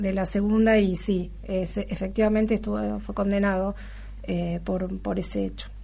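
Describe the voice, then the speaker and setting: The speech moves at a moderate pace. Audible room echo is present. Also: woman. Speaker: radio host. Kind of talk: radio interview and news talk.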